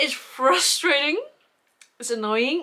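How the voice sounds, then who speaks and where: A woman with an Icelandic accent and ordinary pitch variation. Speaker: knitting podcaster. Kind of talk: casual vlog chat. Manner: rambling with fillers, halting.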